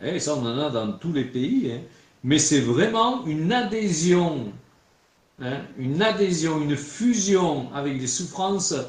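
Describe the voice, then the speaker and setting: With a regional French accent and very wide pitch swings, the speaker goes at a very slow pace in a room with audible echo. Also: man, fairly high pitch for a man. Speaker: preacher. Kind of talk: sermon. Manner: conversational, frequent filler 'hein'.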